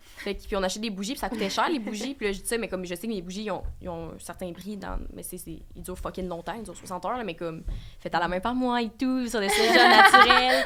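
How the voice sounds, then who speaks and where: Talking very fast in a Bas-Saint-Laurent Quebec accent, a woman uses a medium pitch and ordinary pitch variation against noticeable background noise. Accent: Bas-du-Fleuve Quebec French. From Quebec, Bas-Saint-Laurent. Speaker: podcaster and small business owner. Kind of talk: casual interview chat.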